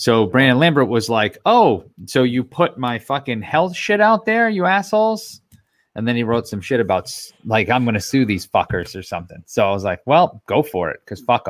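Very wide pitch swings mark a man's medium-pitched voice at a moderate pace, captured on a very clean recording with a silent background and a dry, close sound with no echo. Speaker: podcast co-host. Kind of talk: casual chat.

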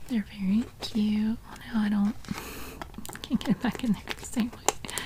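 Whispering at a moderate pace. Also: woman. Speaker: home decor vlogger. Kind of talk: casual vlog chat. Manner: quiet, soft-spoken ASMR talk. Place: home room. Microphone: phone near.

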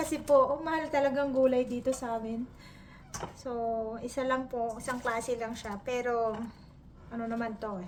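Her pitch is high and her intonation fairly even. This woman speaks at a moderate pace. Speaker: cooking vlogger. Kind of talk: cooking tutorial. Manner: halting.

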